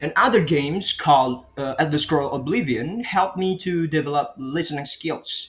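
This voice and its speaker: A man with an Indonesian accent, fairly high pitch, ordinary pitch variation and moderate pace. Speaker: student. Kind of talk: class presentation. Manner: halting, with fillers.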